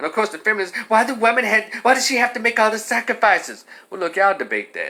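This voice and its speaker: A man's raised, projected voice, bright and sharp in tone, at a very fast pace. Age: 50s. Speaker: commentator. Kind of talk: monologue. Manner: animated.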